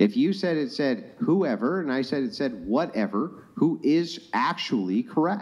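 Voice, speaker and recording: Over a quiet background, a man with vocal fry talks at a fairly slow pace with hardly any pauses and very wide swings in pitch. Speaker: remote podcast guest. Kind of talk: debate discussion. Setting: live stream. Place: home room. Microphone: studio mic.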